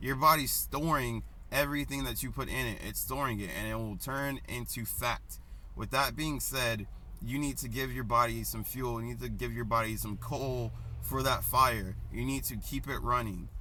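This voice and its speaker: Audible room echo surrounds the recording. A man talks at a moderate pace. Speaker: personal trainer. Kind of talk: casual vlog advice. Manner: casual, hesitant with many ums.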